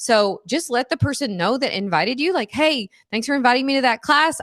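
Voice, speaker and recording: A woman's high voice at a fairly quick pace with very wide pitch swings, dry and close with no echo, over a quiet background. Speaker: wellness educator and product distributor. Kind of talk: livestream class with sales pitch. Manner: fast.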